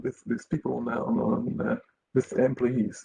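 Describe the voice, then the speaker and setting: A somewhat breathy man with a non-native accent. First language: Dutch. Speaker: company representative. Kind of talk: webinar panel discussion. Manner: halting, many hesitations.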